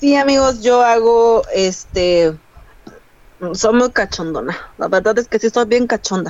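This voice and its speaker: Fairly slow speech from a woman with a fairly high voice and ordinary pitch movement. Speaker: podcast guest. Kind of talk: casual chat. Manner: animated. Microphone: choppy audio, too far from mic.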